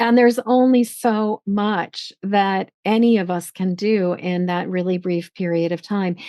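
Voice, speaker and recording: Here is an unremarkable speaking voice with fairly even intonation. It moves at a fairly slow pace with hardly any pauses. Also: woman, medium pitch for a woman. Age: 60s. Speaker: podcast host. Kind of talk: casual interview conversation.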